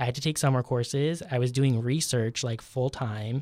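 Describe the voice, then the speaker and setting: A man with a New York accent, medium in pitch, on a very clean recording over a silent background. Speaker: veterinary student. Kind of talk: casual chat.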